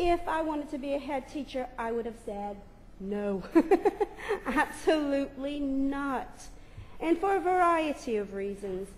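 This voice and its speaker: A woman with a high pitch speaks at a fairly slow pace with long, frequent pauses and lively intonation, amid audible room echo and noticeable background noise. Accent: American. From United States. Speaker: primary head teacher. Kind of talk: conference presentation.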